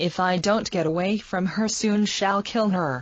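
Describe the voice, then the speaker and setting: Using a put-on character voice, a woman growls at a medium pitch and a moderate pace. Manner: low, grave.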